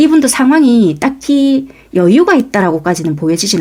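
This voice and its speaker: A woman's voice in a Busan accent, with very wide pitch swings. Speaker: tarot reader. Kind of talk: tarot reading to camera. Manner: conversational, explanatory.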